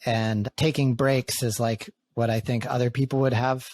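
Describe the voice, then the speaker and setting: A man's medium-pitched voice with an American accent, in a dry, close sound with no echo. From New England, US (outside Boston). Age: 30s. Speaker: podcast host and men's community facilitator. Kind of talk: casual podcast conversation.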